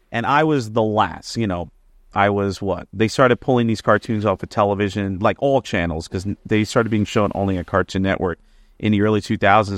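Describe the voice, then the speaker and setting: This man speaks very fast at a fairly low pitch with an American accent. The sound is dry and close with no echo, over a quiet background. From New Jersey. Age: 30s. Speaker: music teacher and vocalist. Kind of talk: casual chat.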